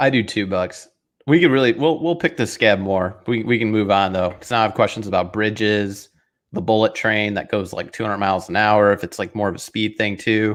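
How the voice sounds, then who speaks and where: This man has an ordinary speaking voice with a fairly low pitch and ordinary pitch variation. He talks at a fairly quick pace against a quiet background. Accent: American. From northern US. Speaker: football podcast co-host. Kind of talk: casual chat.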